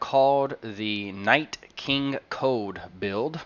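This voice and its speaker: A man is speaking. Background noise is noticeable. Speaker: game streamer. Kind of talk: live gameplay stream commentary. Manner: soft-spoken; hesitant, many fillers.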